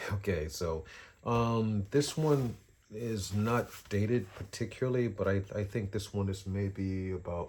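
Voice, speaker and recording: The voice belongs to a man and is somewhat breathy. His pitch is very deep and low. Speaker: drawing teacher and artist. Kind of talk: casual tutorial vlog. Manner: halting, many fillers.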